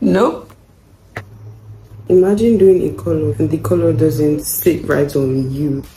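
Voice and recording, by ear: Slowly, a woman speaks at a low pitch in a dark, mellow tone with ordinary pitch variation.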